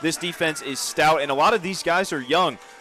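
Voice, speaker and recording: A man talks at a very fast pace with ordinary pitch variation. Music plays behind him. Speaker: sports broadcaster, play-by-play announcer. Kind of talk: color commentary in conversation with co-announcer. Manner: conversational, analytical.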